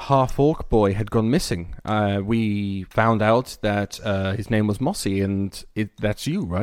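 The reading voice is unforced. Pitch moves up and down in an ordinary way.

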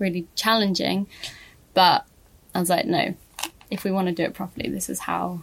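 Somewhat breathy, a woman's voice comes through. She talks at a fairly quick pace. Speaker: fashion brand founder. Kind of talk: casual interview chat.

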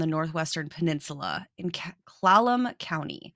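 A woman with an unremarkable speaking voice and ordinary pitch variation is heard on a very clean recording with a silent background. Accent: American. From South Dakota, US. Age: 20s. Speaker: podcast co-host. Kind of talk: casual chat.

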